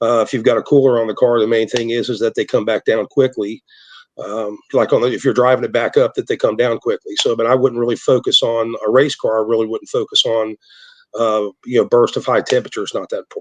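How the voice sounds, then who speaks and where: Recorded dry and close with no echo, a man speaks at a very fast pace. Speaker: transmission builder. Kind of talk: interview. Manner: halting, many repetitions.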